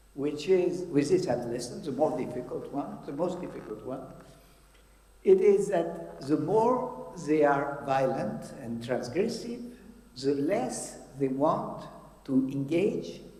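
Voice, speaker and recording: A man speaks very slowly at a fairly high pitch, with very wide pitch swings. There is noticeable background noise and audible room echo. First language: French. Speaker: psychiatrist. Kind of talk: conference talk. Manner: halting.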